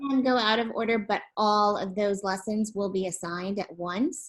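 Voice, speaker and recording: A woman speaks at a moderate pace in a plain, everyday voice. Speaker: education platform representative. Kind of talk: webinar presentation.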